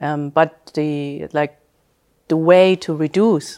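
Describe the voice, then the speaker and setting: A woman speaks at a very deep, low pitch on a very clean recording with a silent background. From Germany. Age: 40s. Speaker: IT executive. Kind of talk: interview. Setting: company headquarters.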